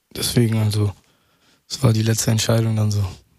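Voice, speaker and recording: Somewhat breathy, a man talks in a flat, monotone way. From Ruhr area, Germany (Mülheim/Essen). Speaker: rapper. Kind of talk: radio interview.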